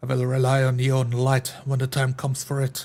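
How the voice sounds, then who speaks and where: A man speaks fairly quickly in a raspy, put-on character voice, his medium pitch held in a monotone with flat intonation. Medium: actual play. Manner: terse, grunting.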